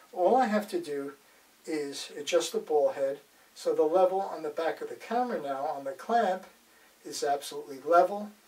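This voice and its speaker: A man talks with a high pitch. Noticeable background noise is present. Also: ordinary pitch variation, moderate pace. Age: 70s. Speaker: photography gear reviewer. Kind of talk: product demonstration. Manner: casual with frequent fillers.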